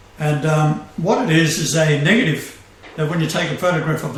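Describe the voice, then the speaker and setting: Over noticeable background noise and audible room echo, a man with a fairly high pitch talks at a fairly quick pace. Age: 70s. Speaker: self-proclaimed messiah radio host. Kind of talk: casual chat.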